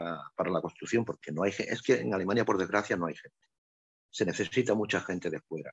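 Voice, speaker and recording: This man talks with ordinary pitch variation in a dry, close sound with no echo. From Andalusia, Spain. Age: 60s. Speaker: electromechanical technician, emigrant worker. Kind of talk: interview. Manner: hesitant, many fillers and repetitions.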